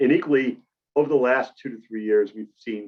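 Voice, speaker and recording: A man speaks with a Boston accent at a moderate pace. His intonation stays fairly even. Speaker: medical device cybersecurity presenter. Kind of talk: webinar presentation. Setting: webinar with camera off.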